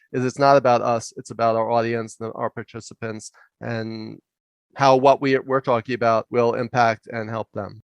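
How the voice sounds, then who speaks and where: With a New York accent, a man talks at medium pitch with fairly even intonation. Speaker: leadership coach and professor. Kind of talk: interview storytelling. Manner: loud and fast.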